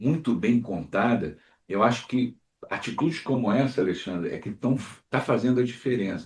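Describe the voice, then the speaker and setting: Using a plain, everyday voice, a man speaks at a medium pitch and moderate pace with ordinary pitch variation. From Rio de Janeiro, Brazil (Jacarepaguá). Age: 60s. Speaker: podcast host. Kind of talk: interview conversation.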